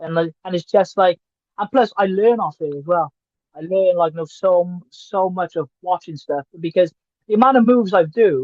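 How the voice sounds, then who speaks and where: The speaker has a Welsh accent and a moderate pace. Pitch variation is ordinary. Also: man, high pitch for a man. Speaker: professional wrestler. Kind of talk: casual chat.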